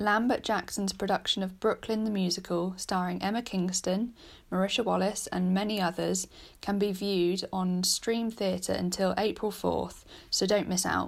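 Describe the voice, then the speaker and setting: A woman in a British accent at medium pitch and moderate pace, with monotone, flat intonation and very even loudness, on a very clean recording with a silent background. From Britain. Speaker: podcast host. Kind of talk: news reading.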